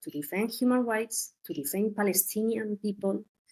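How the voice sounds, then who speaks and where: A woman talks with a Spanish accent at a moderate pace. Her pitch is fairly high with ordinary variation. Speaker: journalist. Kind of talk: interview. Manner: halting.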